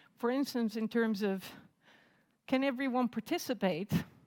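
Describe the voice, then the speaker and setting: A woman speaks with a fairly high pitch and ordinary pitch variation. The recording is very clean with a silent background, and the sound is dry and close with no echo. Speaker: assistant professor, conference speaker. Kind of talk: conference talk. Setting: stage with audience.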